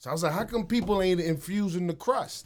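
The recording is very clean and the background silent. A man does the talking. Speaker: food entrepreneur. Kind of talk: casual interview chat. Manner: casual, slangy.

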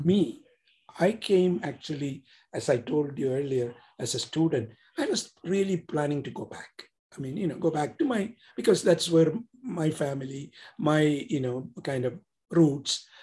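A man's fairly high, somewhat breathy voice with an Indian accent, dark and mellow in tone, with lively intonation, a moderate pace and long, frequent pauses. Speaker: author and entrepreneur. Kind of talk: casual interview. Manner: halting, repeats words.

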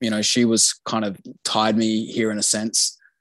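A man speaks with an Australian accent. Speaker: expat living in Japan. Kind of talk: casual interview.

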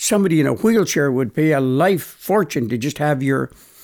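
In a very clean recording with a silent background, a man with a normal speaking voice talks at a fairly high pitch with lively intonation. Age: 60s. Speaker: natural health practitioner. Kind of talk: interview.

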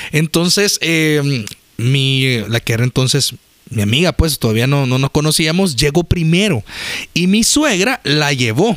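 Speech comes at a fairly slow pace with lively intonation and very even loudness. The sound is dry and close with no echo, though there is noticeable background noise. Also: man, fairly high pitch for a man. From El Salvador. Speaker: podcast co-host. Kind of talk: casual chat.

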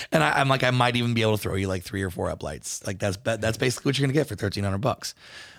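On a very clean recording with a silent background, a man talks at a very fast pace with hardly any pauses, a medium pitch and ordinary pitch variation. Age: 30s. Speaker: wedding and nightclub DJ, podcast host. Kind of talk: casual chat.

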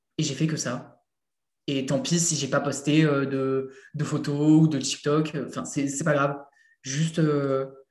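The man's fairly high voice moves at a very slow pace with long, frequent pauses. His intonation is monotone and flat, and the room echo is audible. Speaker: content creator. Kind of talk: casual interview. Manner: casual, hesitant.

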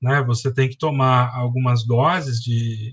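Somewhat breathy, a man speaks at a medium pitch and a fairly slow pace with ordinary pitch variation. The sound is dry and close, with no echo. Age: 40s. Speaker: biology teacher. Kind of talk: educational podcast explanation.

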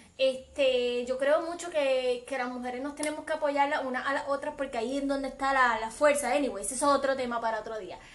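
A woman with a high pitch speaks at a fairly quick pace with hardly any pauses, over noticeable background noise. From Puerto Rico, west (Aguadilla). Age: 20s. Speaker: podcast co-host, host's cousin. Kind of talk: casual chat. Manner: animated.

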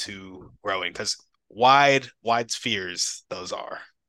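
On a very clean recording with a silent background, a man at medium pitch speaks at a moderate pace in a bright, sharp tone, the sound dry and close with no echo. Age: 20s. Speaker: podcast host and coach. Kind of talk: casual interview.

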